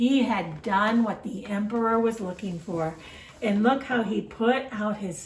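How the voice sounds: Reading in a natural voice, the speaker lets the pitch vary in an ordinary way.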